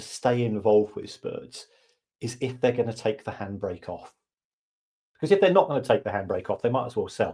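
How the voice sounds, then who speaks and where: A man talks at a fairly quick pace and medium pitch, his tone dark, mellow and somewhat breathy. His intonation is lively, and his loudness swings widely. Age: 60s. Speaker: football finance expert and podcaster. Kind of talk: podcast interview.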